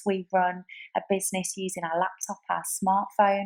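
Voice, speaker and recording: This woman has a British accent and a medium pitch, and she sounds enthusiastic. The sound is dry and close, with no echo. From UK. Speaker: online business entrepreneur. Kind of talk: sales pitch.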